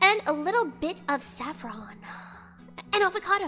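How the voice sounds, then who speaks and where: A woman speaks in a raised, projected voice with an animated tone. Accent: Southern California. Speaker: streamer. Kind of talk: casual chat.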